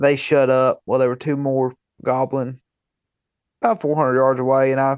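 Over a quiet background, a man with a Southern US accent speaks at a moderate pace. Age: 20s. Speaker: hunting podcast host. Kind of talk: casual chat.

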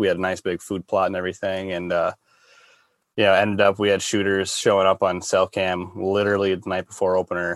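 In a normal speaking voice, a man with an American accent talks at a fairly low pitch, the sound dry and close with no echo against a quiet background. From Minnesota. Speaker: deer hunter and hunting content creator. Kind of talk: casual interview chat.

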